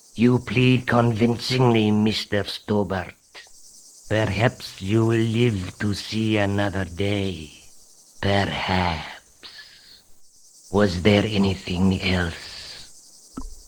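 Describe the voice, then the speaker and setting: A man's put-on character voice, fairly low in pitch with fairly even intonation, at a very slow pace with long, frequent pauses. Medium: video game. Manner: formal, calm, courteous.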